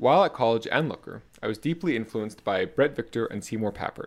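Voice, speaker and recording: Lively intonation marks this man's American accent. He speaks at a fairly quick pace and medium pitch. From South Florida. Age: 20s. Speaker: podcast host and programming language researcher. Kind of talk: solo podcast monologue, partly reading aloud; reading aloud.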